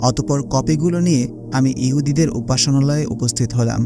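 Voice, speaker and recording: Music plays in the background behind a man. His voice sits at a medium pitch with fairly even intonation. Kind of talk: religious-historical narration.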